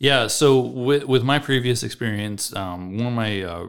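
In an American accent, a man talks in a plain, everyday voice with ordinary pitch variation, recorded very cleanly with a silent background. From central Illinois (Monticello). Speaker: co-host, field sales agronomist. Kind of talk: casual chat.

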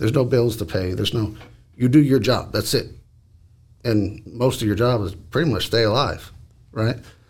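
A man speaks with an American accent at a medium pitch. His voice is somewhat breathy, and his pace is moderate. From Washington State and Dallas, Texas. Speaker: war veteran. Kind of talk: casual chat.

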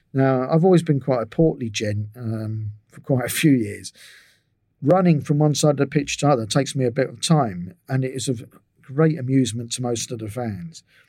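A man's dark, mellow tone at a moderate pace, with ordinary pitch variation and big swings in loudness. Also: medium pitch for a man. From England. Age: 60s. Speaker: physiotherapist. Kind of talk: interview.

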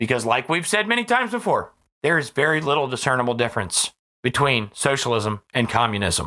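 A man with an American accent speaks at a fairly quick pace and medium pitch, his tone bright and sharp and his intonation lively. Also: very clean recording, silent background. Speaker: podcast host. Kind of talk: political commentary. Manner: loud; animated.

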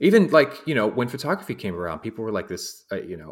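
With vocal fry in his voice, a man lets his pitch swing very widely. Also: very clean recording, silent background. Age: 40s. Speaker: podcast host. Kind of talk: casual chat. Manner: animated.

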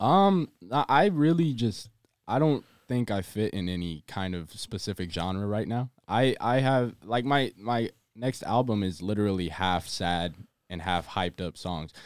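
With an American accent, a man speaks in a normal speaking voice at a fairly low pitch and a fairly slow pace. His intonation is lively, and the recording is very clean with a silent background. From Central Texas. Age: 20s. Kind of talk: casual chat. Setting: studio.

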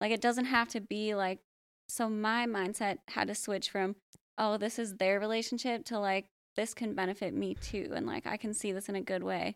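A woman with an American accent speaks at a moderate pace in a plain, everyday voice. Her pitch is fairly high and her intonation fairly even. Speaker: real estate agent and entrepreneur. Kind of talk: casual chat.

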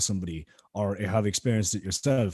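A man in a Cork accent has a dark, mellow tone and ordinary pitch variation. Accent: Cork Irish. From Ireland, East Cork. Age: 20s. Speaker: musician. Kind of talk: casual chat. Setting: video call.

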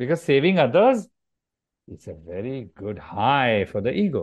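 Over a quiet background, a man with an Indian accent speaks at a moderate pace, with very wide pitch swings, big swings in loudness and long, frequent pauses. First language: Marathi. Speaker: yoga teacher. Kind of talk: interview.

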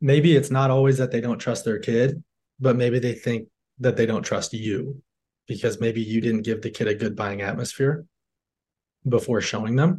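The man sounds somewhat breathy, with an American accent and fairly even intonation. The background is quiet. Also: medium pitch for a man, moderate pace. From Michigan, north of Detroit. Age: 20s. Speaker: door-to-door salesman. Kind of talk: casual interview.

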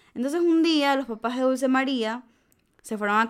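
A woman with an unremarkable speaking voice talks at a fairly quick pace with ordinary pitch variation, in a very clean recording with a silent background. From Ecuador, Manabí coast. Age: 20s. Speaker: podcast host, medical student. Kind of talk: casual chat, storytelling. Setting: studio.

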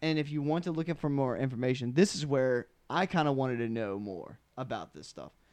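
An animated man at a moderate pace, lively in intonation, over a quiet background. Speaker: podcast host. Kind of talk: casual chat. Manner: animated, excitable.

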